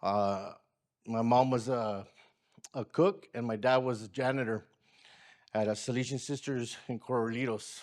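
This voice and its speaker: A medium-pitched man at a moderate pace with long, frequent pauses, on a very clean recording with a silent background. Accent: American. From Watsonville, California. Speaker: community organizer. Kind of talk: personal testimony. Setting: community gathering with audience.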